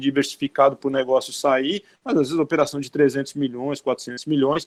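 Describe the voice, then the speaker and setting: Recorded very cleanly over a silent background, a man with a Brazilian accent speaks at a fairly high pitch. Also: dry, close sound with no echo. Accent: non-Northeastern Brazilian. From Brazil, outside the Northeast. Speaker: bank chief economist. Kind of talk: interview Q&A, explanatory.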